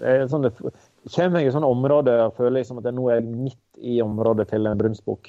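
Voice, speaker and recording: A man speaks in a plain, everyday voice at a medium pitch, talking at a fairly quick pace with hardly any pauses and fairly even intonation. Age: 30s. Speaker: hunter and caterer. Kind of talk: interview.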